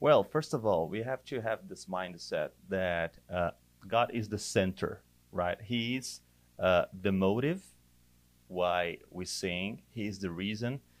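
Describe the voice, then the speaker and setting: In a Portuguese accent, a man speaks at a fairly low pitch with ordinary pitch variation. His pace is very slow. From Brazil. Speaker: church worship director. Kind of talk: casual chat.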